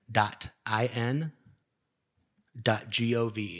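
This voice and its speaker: A medium-pitched male voice. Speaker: panelist on state legislation. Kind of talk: panel Q&A. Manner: fast.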